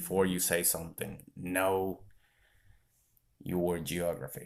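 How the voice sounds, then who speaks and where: Very slowly, a man speaks with a very deep, low pitch. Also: ordinary pitch variation. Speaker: vlogger. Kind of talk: casual chat.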